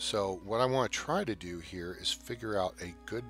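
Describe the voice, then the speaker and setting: Music plays in the background as a man speaks at a fairly slow pace with very wide swings in pitch. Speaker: gaming video host. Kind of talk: casual live-stream game commentary.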